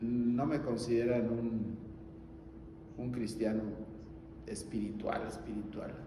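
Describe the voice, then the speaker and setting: Amid noticeable background noise and audible room echo, a man talks at a very slow pace with long, frequent pauses. His medium-pitched voice stays monotone and flat. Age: 70s. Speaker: guest preacher. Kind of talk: sermon. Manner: halting.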